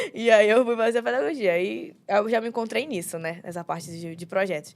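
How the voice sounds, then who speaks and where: A woman talks at a fairly quick pace in an unremarkable speaking voice with a medium pitch. Her intonation is lively and her loudness swings widely. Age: 20s. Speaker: young pastor. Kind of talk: casual chat.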